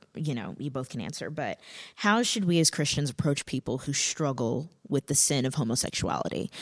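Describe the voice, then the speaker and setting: A woman with a very deep, low pitch speaks with lively intonation on a very clean recording with a silent background. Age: 20s. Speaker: podcast host. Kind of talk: testimony; casual chat.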